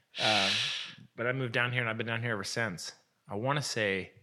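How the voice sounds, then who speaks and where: This man talks at a fairly quick pace in a medium pitch, his tone bright and sharp with fairly even intonation. The recording is very clean, with a silent background. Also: long, frequent pauses. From Portland, Oregon, US Pacific Northwest. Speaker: photographer. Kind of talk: casual chat.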